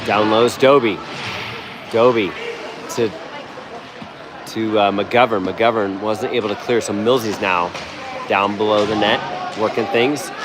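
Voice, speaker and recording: A fairly low-pitched man at a fairly slow pace, with fairly even intonation, long and frequent pauses, and noticeable background noise. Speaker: amateur hockey play-by-play commentator. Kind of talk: live commentary. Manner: casual, fan-like.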